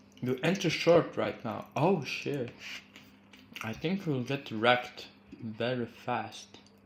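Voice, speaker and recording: With a Croatian accent, a man speaks at a medium pitch. His pace is very slow, with long, frequent pauses. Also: ordinary pitch variation. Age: 20s. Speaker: crypto trading streamer. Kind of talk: live-stream trading commentary. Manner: casual, halting.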